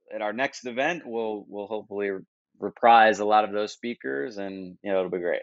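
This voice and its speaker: Here a man with a fairly low pitch and an unremarkable speaking voice keeps a moderate pace. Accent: American. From United States. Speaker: marketing conference founder. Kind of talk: podcast interview. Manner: casual, with many fillers and restarts.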